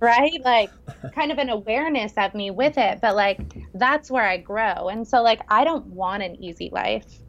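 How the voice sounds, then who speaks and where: A woman with an American accent, fairly high-pitched, at a moderate pace with lively intonation. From US West Coast, San Francisco Bay Area. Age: 40s. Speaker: chef and health coach. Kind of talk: casual interview. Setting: call.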